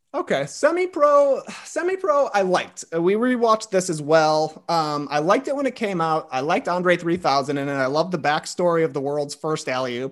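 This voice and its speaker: With an American accent, a man talks at a fairly quick pace with hardly any pauses. His pitch is high, with very wide swings. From US Midwest, small town near Chicago, Illinois. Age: 30s. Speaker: podcaster. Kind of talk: casual chat.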